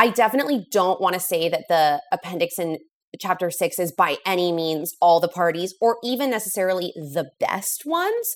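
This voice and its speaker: With a very clean recording and a silent background, a woman talks in a normal speaking voice at medium pitch, with ordinary pitch variation and a moderate pace. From US West Coast, Los Angeles. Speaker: writer, author. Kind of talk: casual interview.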